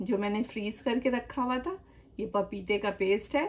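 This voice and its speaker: A woman talks with ordinary pitch variation. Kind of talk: cooking tutorial. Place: kitchen.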